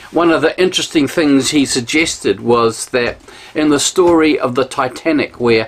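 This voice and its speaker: A man in a New Zealand accent with ordinary pitch variation. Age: 60s. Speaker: pastor. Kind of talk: sermon. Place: home room. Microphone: camera far.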